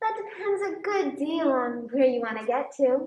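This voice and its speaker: A female-sounding voice does a put-on character voice with a high pitch at a moderate pace. There is a slight echo. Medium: stage play. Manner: teasing, unhurried.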